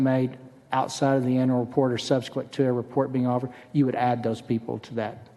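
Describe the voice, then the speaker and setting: Amid noticeable background noise, a man talks at a very fast pace in a medium pitch. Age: 60s. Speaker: state senator. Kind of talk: legislative testimony. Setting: committee hearing room.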